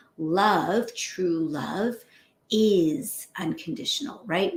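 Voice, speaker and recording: Loud and at medium pitch, a woman's voice comes through. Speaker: spiritual teacher. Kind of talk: live-stream spiritual talk. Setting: live stream. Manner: loud voice.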